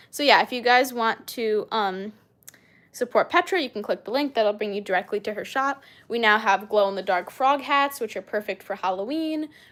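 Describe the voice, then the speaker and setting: On a very clean recording with a silent background, a woman speaks. Her pitch is fairly high and her pace moderate. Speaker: snake-keeping live streamer. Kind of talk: live stream Q&A chat. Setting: live stream on camera. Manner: casual, hesitant with fillers.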